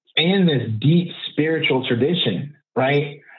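Audible room echo surrounds a voice whose pitch moves in an ordinary way. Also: man. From Oakland, California (East Oakland). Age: 40s. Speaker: social justice activist and coach. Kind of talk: casual interview conversation.

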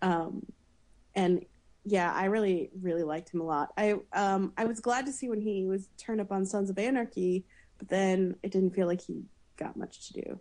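A woman talks at a moderate pace with fairly even intonation. Hers is an ordinary speaking voice at a medium pitch. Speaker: podcaster. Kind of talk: casual chat.

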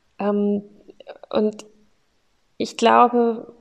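A woman's fairly high-pitched voice with a dark, mellow tone. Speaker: podcast host sharing her mental health story. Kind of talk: personal testimony monologue. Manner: unscripted, with frequent filler sounds.

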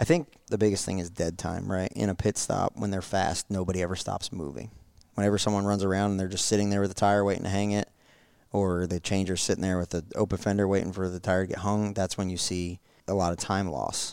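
In a very clean recording with a silent background, a man with an American accent and a very deep, low pitch talks at a very fast pace with fairly even intonation. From New Jersey. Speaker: racing driver and pit crew coach. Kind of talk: casual chat.

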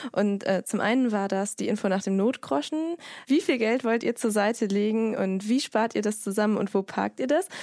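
In a normal speaking voice, a woman talks at a moderate pace with a fairly high pitch and ordinary pitch variation, the sound dry and close with no echo and the recording very clean with a silent background. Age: 30s. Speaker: podcast host and online editor. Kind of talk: casual interview.

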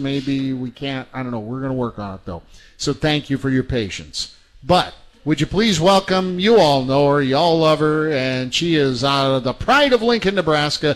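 Fairly high in pitch, a man talks at a moderate pace in a plain, everyday voice with ordinary pitch variation. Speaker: radio host. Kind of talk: casual interview chat. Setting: live radio show at a restaurant.

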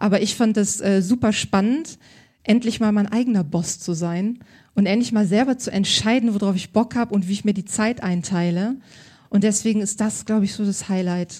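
The voice is somewhat breathy and dark, mellow in tone, moving at a moderate pace. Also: woman, medium pitch for a woman. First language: bilingual German and French (speaking German). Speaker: stylist. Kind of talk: live podcast interview. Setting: stage with audience.

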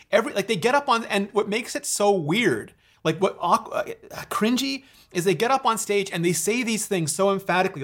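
The man's intonation is lively, and his speech moves at a fairly quick pace. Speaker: podcast host and tech video creator. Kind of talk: casual chat. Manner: fast talker.

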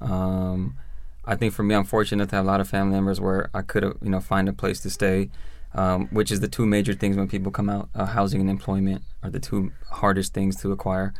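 This man has a plain, everyday voice with an American accent, pitched fairly low. He talks at a fairly quick pace with fairly even intonation. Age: 30s. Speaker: prison reform advocate, formerly incarcerated. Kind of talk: interview, personal testimony.

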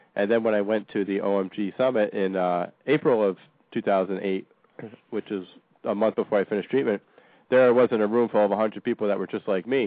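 A man talks fairly quickly in an unremarkable speaking voice. His pitch is fairly low and his intonation fairly even. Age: 30s. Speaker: co-host, cancer survivor. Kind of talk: casual chat.

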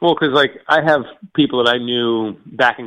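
Here a man talks at a moderate pace. His pitch is medium, with ordinary variation. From US, Florida east coast. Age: 40s. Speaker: caller. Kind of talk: casual chat. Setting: phone call.

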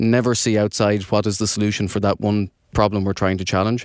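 A man with an Irish accent at a very fast pace, a fairly low pitch and a monotone, flat intonation. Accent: Irish brogue. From Ireland. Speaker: research manager. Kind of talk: interview.

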